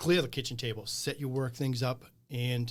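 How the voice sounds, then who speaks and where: A man with an American accent talks at a medium pitch and a moderate pace, his voice somewhat breathy and his intonation fairly even. The recording is very clean, with a silent background. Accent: Boston accent, comes out at times. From Boston area, New England. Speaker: small business owner. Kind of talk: casual interview conversation.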